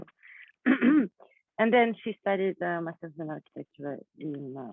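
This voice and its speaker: A woman speaks with a non-native accent at a fairly low pitch. Her intonation is lively. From Kazakhstan. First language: not English. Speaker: artist. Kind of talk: panel discussion. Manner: halting.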